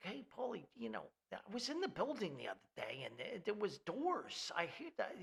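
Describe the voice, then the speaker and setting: Using a put-on character voice, a man speaks with an extremely high pitch. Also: moderate pace. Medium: solo performance. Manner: casual, hesitant.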